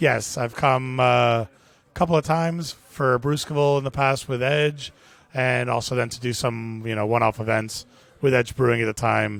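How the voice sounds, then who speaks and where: At a moderate pace, this speaker uses fairly even intonation and talks with a Miami accent. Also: man. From US, Miami. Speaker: brewery brand ambassador. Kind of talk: casual interview.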